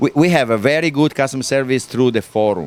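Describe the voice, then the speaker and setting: With an Italian accent, a man speaks using lively intonation. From Italy. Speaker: helicopter company owner and engineer. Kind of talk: interview. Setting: live at a hobby event. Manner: halting, many fillers.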